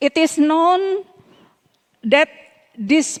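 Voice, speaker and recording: A woman speaks with an Indonesian accent. Her pace is very slow. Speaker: local government official. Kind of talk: closing remarks speech. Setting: summit closing ceremony. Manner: halting; formal.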